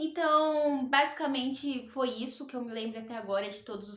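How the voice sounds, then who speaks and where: Fairly even intonation and a fairly quick pace come through noticeable background noise and audible room echo. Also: woman. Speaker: tarot reader and spiritual youtuber. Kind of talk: personal testimony vlog.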